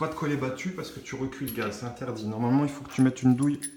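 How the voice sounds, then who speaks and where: A man of medium pitch is heard with noticeable background noise. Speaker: plumber. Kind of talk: tutorial. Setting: worksite. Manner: casual. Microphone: echo, no headset.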